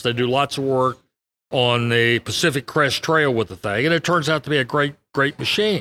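With an American accent, a man at a fairly high pitch speaks at a moderate pace in a bright, sharp tone, with ordinary pitch variation and a dry, close sound with no echo. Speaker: trail builder, company owner and Marine veteran. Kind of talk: interview. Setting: conference venue.

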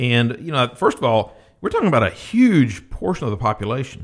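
Speaking at a moderate pace, a man uses an ordinary speaking voice at a medium pitch. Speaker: financial advisor. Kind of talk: radio interview discussion.

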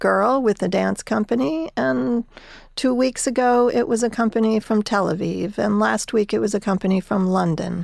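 With an American accent, a woman talks in an ordinary speaking voice at medium pitch with ordinary pitch variation, on a very clean recording with a silent background. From New Jersey. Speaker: arts administrator. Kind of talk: interview.

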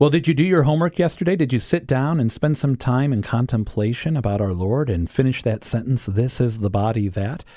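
A man with a normal speaking voice at a medium pitch, talking at a fairly quick pace with lively intonation. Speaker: co-host. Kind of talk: casual devotional chat.

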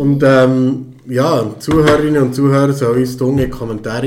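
A man with a Swiss accent, audible room echo and noticeable background noise. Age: 40s. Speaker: podcast host and father. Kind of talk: casual chat.

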